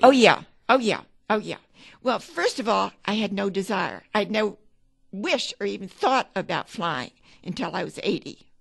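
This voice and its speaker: Against a quiet background, a woman with vocal fry speaks at a moderate pace and medium pitch, with ordinary pitch variation and long, frequent pauses. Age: 80s+. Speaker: amateur pilot. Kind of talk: interview answer.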